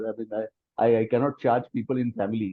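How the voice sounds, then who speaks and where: A man at medium pitch. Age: 50s. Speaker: friend of the author. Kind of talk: testimony.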